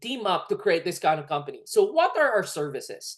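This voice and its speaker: This woman has a Filipino accent and an animated tone. The background is quiet. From Philippines. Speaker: network marketing presenter. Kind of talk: sales pitch.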